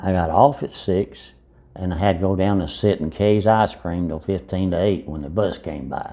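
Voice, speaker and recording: With an Appalachian accent, a man speaks at a moderate pace in a very deep, low pitch, his tone dark and mellow, with ordinary pitch variation against a quiet background. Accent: Southern Appalachian American. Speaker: interviewee recalling his life. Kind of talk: life story interview.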